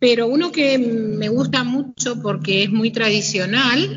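Very slowly, a woman speaks with a fairly high pitch and lively intonation. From Argentina, Greater Buenos Aires (Hurlingham). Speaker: painter and gallery owner. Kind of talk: interview. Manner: hesitant, many fillers.

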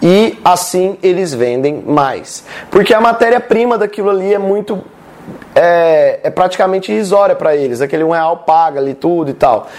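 Talking at a moderate pace, a man with a Brazilian accent has a high pitch and lively intonation, with noticeable background noise behind him. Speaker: sales and marketing content creator. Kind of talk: tutorial. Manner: animated.

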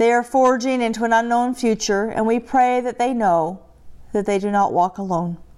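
A woman speaks in a plain, everyday voice at a moderate pace. Her pitch sits fairly high, with ordinary variation. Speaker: pastor. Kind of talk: prayer.

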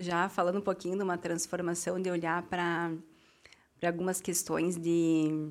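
An ordinary speaking voice on a very clean recording with a silent background. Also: woman. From southern Brazil, Rio Grande do Sul. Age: 30s. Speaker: school founder and former finance manager. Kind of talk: interview conversation.

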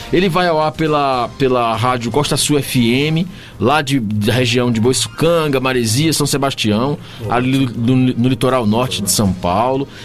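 Music plays in the background as a man speaks at a fairly slow pace. His pitch is medium, with ordinary variation. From Bahia, Brazil (Gandu, southern Bahia). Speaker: singer-songwriter and musician. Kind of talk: casual radio interview. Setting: radio studio. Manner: warm, animated.

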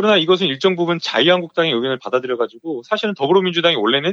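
A man with a fairly high voice races at a very fast pace, his intonation lively. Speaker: lawyer. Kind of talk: interview. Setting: phone call.

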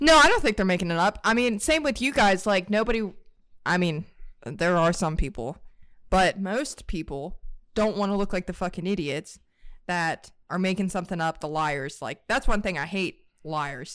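A woman with a medium pitch and very wide pitch swings speaks at a moderate pace in a very clean recording with a silent background. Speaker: podcast co-host. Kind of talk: casual chat.

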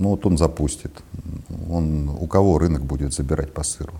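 A man's very deep, low voice with fairly even intonation, over noticeable background noise. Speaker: former dairy procurement director. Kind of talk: interview.

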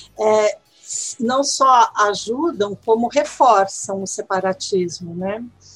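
With music in the background, a woman with a fairly high pitch speaks at a very slow pace with lively intonation. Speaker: Spanish language teacher and researcher. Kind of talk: interview.

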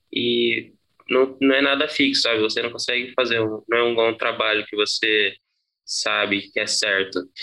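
Medium-pitched male voice, bright and sharp in tone, with fairly even intonation at a fairly slow pace. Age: 20s. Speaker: bicycle delivery worker. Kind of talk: interview testimony. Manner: halting, many repetitions and fillers.

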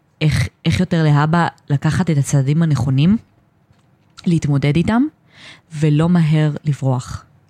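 Very deep, low female voice with a dark, mellow tone, fairly slow pace, long, frequent pauses and very even loudness, in a dry, close sound with no echo. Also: ordinary pitch variation. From Israel, Ashdod and Or Yehuda. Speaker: special education student. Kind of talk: personal testimony interview. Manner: halting.

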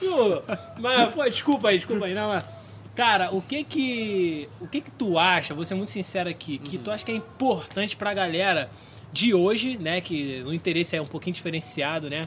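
A man talks in a high pitch. His intonation is lively. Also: moderate pace. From Rio de Janeiro, West Zone. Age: 20s. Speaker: podcast host. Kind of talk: casual chat.

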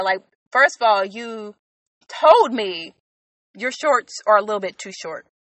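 A woman with an American accent speaks at a fairly high pitch with lively intonation. Her pace is fairly slow. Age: 20s. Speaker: podcaster. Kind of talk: casual monologue.

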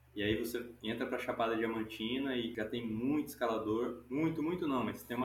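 A man talks at a moderate pace in a medium pitch, his intonation fairly even, while audible room echo fills the space. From Goiás, Brazil. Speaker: climbing instructor. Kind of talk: casual interview. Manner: casual, relaxed.

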